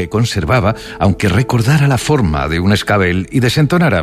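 Lively intonation marks this clip. It is spoken in a natural reading voice.

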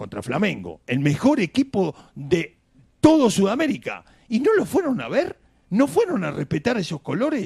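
A man with high pitch, a husky, rough edge and vocal fry, very wide pitch swings, a slightly mellow tone, a moderate pace and few pauses

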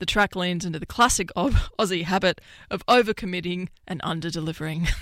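A woman talks at a fairly quick pace and a fairly low pitch. Her tone is fairly bright, with ordinary pitch variation.

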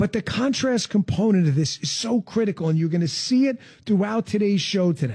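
A man talks at a fairly quick pace and a high pitch, with lively intonation. His tone is slightly mellow with a slightly husky edge.

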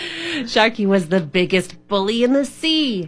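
It is an unforced reading voice.

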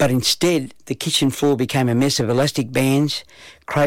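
The text is read aloud in a natural voice. Its intonation is fairly even.

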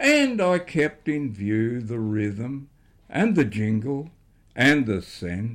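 This is someone reading aloud in a natural voice, with lively intonation.

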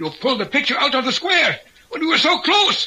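In a put-on character voice with extremely high pitch, a man talks at a fairly quick pace with big pitch swings and a bright, sharp tone.

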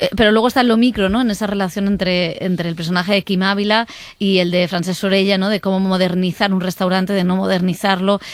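A woman talks at a fairly quick pace. She leaves few pauses. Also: medium pitch for a woman, fairly even intonation.

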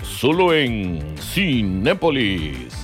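Over clear background music, a man puts on a character voice with a fairly low pitch. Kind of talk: radio or trailer announcer. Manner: announcer-style, promotional.

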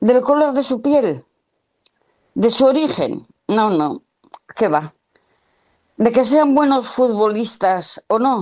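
At a slow pace with long, frequent pauses, a woman speaks at a fairly high pitch with big pitch swings and a slightly mellow tone.

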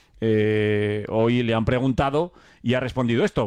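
A man's voice sits at a fairly low pitch, with a clear, smooth tone that is slightly mellow.

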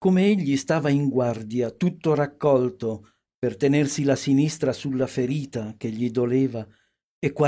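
Over a quiet background, ordinary pitch variation colors an unforced reading voice.

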